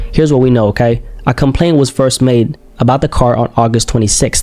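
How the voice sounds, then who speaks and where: Over noticeable background noise, someone talks at a very fast pace with a non-native accent. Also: man. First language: not English. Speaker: true crime reaction youtuber. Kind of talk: casual commentary. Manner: conversational, frequent okay/right fillers.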